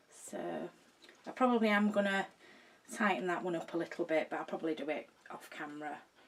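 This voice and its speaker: A woman with a Yorkshire accent and a medium pitch talks at a very fast pace with ordinary pitch variation and long, frequent pauses, over noticeable background noise. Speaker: video maker showing a craft project. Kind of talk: casual, broad regional speech.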